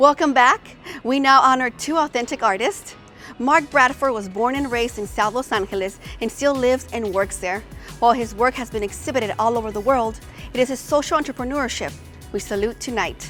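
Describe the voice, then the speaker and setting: Over music in the background, a woman speaks at a fairly quick pace in a high pitch. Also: ordinary pitch variation. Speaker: show host, radio personality. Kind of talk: event host narration, scripted introductions.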